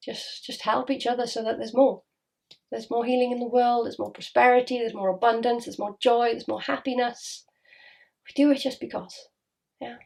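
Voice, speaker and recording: A woman with a Welsh accent speaks high at a fairly quick pace, with fairly even intonation, big swings in loudness, and long, frequent pauses. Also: very clean recording, silent background. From Wales. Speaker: spiritual healer. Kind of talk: casual monologue to camera. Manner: fast.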